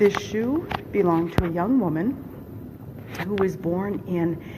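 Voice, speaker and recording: A quiet woman talks at a fairly slow pace and medium pitch. Audible room echo and noticeable background noise surround her. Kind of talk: vlog tour narration. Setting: inside a church shrine.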